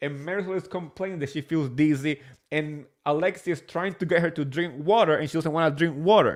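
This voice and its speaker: A man with a Spanish accent, high in pitch, animated in tone, with ordinary pitch variation, on a very clean recording with a silent background. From New Jersey, born in Spain. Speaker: reality TV recap podcaster. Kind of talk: casual solo recap commentary. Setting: live stream.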